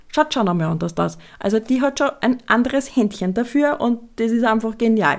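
Ordinary pitch variation marks a woman's fairly quick delivery. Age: 30s. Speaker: podcast host, essential oils business. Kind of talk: casual solo podcast monologue.

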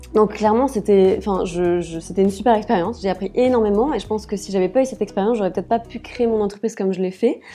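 Over noticeable background noise, a woman of medium pitch talks at a very fast pace with hardly any pauses and fairly even intonation. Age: 30s. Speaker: personal stylist and wardrobe coach. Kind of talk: casual interview. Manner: hesitant, many fillers.

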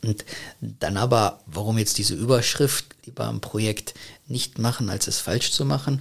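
A man's fairly low voice with vocal fry, at a fairly slow pace. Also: ordinary pitch variation. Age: 20s. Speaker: business consultant. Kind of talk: interview. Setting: podcast studio.

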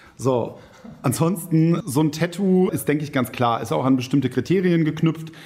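Speaking at a moderate pace, a man has a fairly high pitch and a dark, mellow tone. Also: ordinary pitch variation. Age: 30s. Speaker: police recruitment officer. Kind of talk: casual chat.

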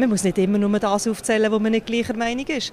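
A woman talks at a fairly quick pace with a fairly high pitch, and noticeable background noise can be heard. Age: 40s. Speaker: politician. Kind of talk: interview. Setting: on location at an industrial site.

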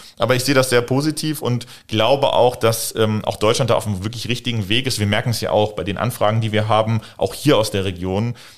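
On a very clean recording with a silent background, a man of medium pitch speaks at a very fast pace with hardly any pauses. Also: fairly even intonation. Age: 20s. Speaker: entrepreneur in renewable energy. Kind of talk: interview. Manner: hesitant, many fillers.

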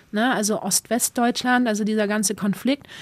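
In an ordinary speaking voice, a woman talks at a fairly high pitch with fairly even intonation, the sound dry and close with no echo on a very clean recording with a silent background. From East Belgium, German-speaking community. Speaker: spoken word artist and youth workshop leader. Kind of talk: interview testimony.

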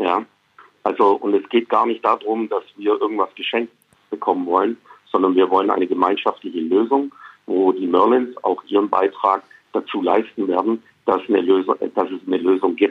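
With a fairly low pitch and fairly even intonation, a man speaks at a moderate pace. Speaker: basketball club executive. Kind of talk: interview. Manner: halting, many fillers.

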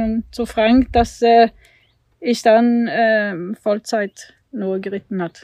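In a Swedish accent, the speaker talks at a very slow pace. The intonation stays fairly even. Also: woman. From Sweden. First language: Swedish (speaking German). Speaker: Olympic eventing rider. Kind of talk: casual interview. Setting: at the family farm. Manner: hesitant, many fillers.

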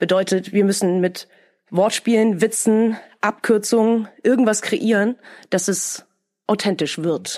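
In a very clean recording with a silent background, a woman at a medium pitch speaks very slowly with long, frequent pauses, very even loudness, and ordinary pitch variation. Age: 30s. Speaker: dubbing studio manager. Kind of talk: interview.

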